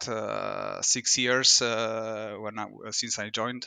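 A man speaks at a very slow pace in a flat, monotone delivery. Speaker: trading technology executive. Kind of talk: interview. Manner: halting.

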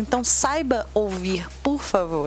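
Noticeable background noise is present as a woman talks. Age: 20s. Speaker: cosplayer and history student. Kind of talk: casual chat.

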